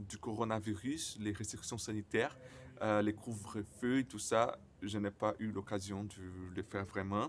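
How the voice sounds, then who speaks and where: Fairly low pitch from a man, with ordinary pitch variation. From Brazil. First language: Portuguese (speaking French). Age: 20s. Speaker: vlogger who stutters. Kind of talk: personal vlog. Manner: stuttering, halting with many fillers.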